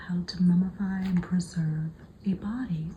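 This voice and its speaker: Amid noticeable background noise, a woman talks at a moderate pace with a medium pitch and ordinary pitch variation. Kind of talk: ASMR book flip-through narration, talking to camera. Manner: soft, whispered ASMR delivery.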